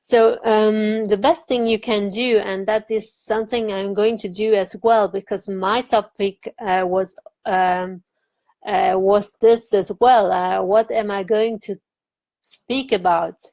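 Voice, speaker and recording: A woman with a non-native accent, a fairly high pitch, and a dark, mellow tone, at a very slow pace with fairly even intonation, in a dry, close sound with no echo. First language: not English. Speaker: online marketing vlogger. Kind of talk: tutorial. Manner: halting, many fillers.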